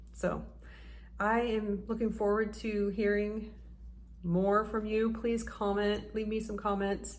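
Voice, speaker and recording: Her pitch sits in the medium range, and this woman speaks at a very slow pace with monotone, flat intonation. Audible room echo surrounds her voice. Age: 40s. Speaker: YouTuber. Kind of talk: casual vlog talk to camera.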